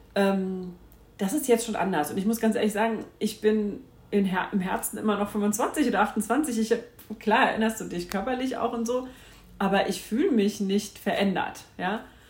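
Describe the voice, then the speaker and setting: Her voice fairly high and her tone animated, a woman talks at a moderate pace with ordinary pitch variation. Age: 40s. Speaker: podcast host. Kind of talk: casual monologue.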